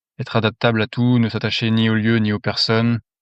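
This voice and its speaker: Recorded dry and close with no echo against a quiet background, a man talks at a fairly quick pace in a medium pitch. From France. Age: 30s. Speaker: mine worker giving testimony. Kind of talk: testimony.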